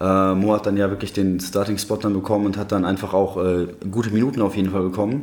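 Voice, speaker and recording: At a very fast pace, a man speaks in a fairly low pitch with monotone, flat intonation. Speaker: basketball fan expert. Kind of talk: casual chat. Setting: temporary studio.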